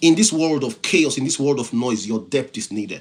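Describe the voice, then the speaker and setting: This man talks at a moderate pace in a fairly high pitch. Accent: non-native. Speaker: motivational speaker and IT professional. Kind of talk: live-stream motivational talk. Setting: live stream. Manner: repetitive, halting restarts.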